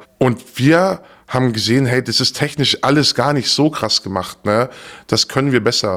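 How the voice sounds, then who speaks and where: Pitch variation here is ordinary. The pace sits at a moderate speed. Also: man. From southern Germany, Stuttgart area. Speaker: former darknet market admin. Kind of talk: interview. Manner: measured, thoughtful.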